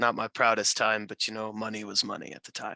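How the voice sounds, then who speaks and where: Putting on a character voice, a man rattles off words at a very fast pace in a raspy, medium-pitched monotone, the sound dry and close with no echo on a very clean recording with a silent background. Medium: actual play. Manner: wry, casual.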